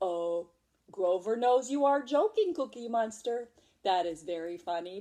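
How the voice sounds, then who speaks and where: Fairly high pitch in a woman's put-on character voice. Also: moderate pace. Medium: read story. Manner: refers to himself in third person.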